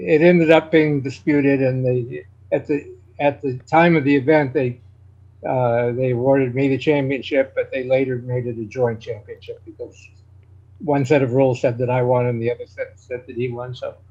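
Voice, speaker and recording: A man with a dark, mellow, somewhat breathy tone speaks with fairly even intonation. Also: medium pitch for a man, moderate pace. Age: 70s. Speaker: chess grandmaster. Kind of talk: interview. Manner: halting.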